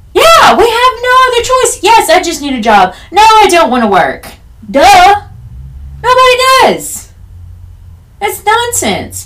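A woman's extremely high voice in an American accent, with very wide pitch swings, a fairly slow pace, long and frequent pauses, and audible room echo. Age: 30s. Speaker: podcast host. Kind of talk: solo casual monologue.

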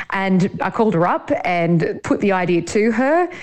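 The voice carries an Australian accent. Its pitch varies in an ordinary way. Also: woman. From Sydney, Australia. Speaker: journalist and farmer. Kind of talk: interview. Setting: studio.

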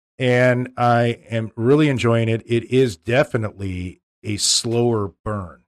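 Delivered at a fairly slow pace with hardly any pauses, an unremarkable speaking voice keeps a fairly even intonation in a dry, close sound with no echo. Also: man, medium pitch for a man. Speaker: podcast host, school superintendent. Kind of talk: casual chat about cigars, whiskey and sports. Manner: measured, talkative.

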